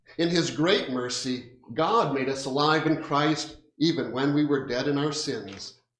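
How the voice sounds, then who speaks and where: A man is talking. The room echo is audible. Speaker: pastor. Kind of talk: liturgical speech and prayer. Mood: solemn, measured. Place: church.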